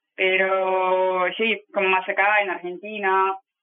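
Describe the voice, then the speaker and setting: A woman is talking. Her pitch is medium. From Russia, Saint Petersburg. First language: Russian (speaking Spanish). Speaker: travel guide on ships. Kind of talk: interview. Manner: halting.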